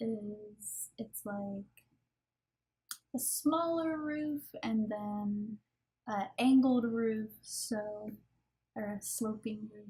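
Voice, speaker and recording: A woman with a fairly high pitch and a dark, mellow tone speaks at a very slow pace, showing ordinary pitch variation, big swings in loudness and long, frequent pauses. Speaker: gaming YouTuber. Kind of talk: voice-over commentary on a speed build.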